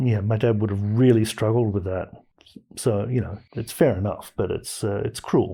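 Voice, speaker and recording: A man speaks at a moderate pace in a fairly low, somewhat breathy voice with a dark, mellow tone. His pitch variation is ordinary, and the recording is very clean with a silent background. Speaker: podcast host. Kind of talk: casual chat.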